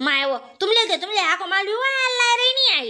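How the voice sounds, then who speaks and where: A cartoonish character voice at a moderate pace, with very wide pitch swings. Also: woman, extremely high pitch for a woman. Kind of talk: rustic comic cartoon voicing. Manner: casual, bantering.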